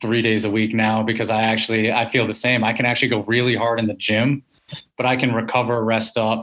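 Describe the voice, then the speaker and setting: Over a quiet background, a man with an ordinary speaking voice talks at a moderate pace in a medium pitch. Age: 30s. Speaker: podcast host and strength coach. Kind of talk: casual interview.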